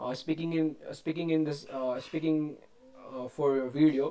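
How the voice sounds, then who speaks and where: With an Indian accent, a man speaks at a moderate pace and a fairly high pitch with fairly even intonation. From India, Rajasthan. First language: Hindi. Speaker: English learner vlogger. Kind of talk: unscripted monologue, speaking practice. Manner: halting, many fillers and restarts.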